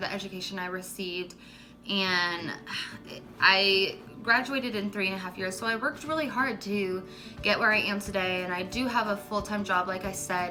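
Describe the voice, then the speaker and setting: Someone with an American accent speaks at a moderate pace with fairly even intonation. The room echo is audible, and background noise is noticeable. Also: woman. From US Midwest, Missouri. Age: 20s. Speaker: beauty YouTuber, makeup artist. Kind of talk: casual vlog talk to camera. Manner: casual, hesitant with fillers.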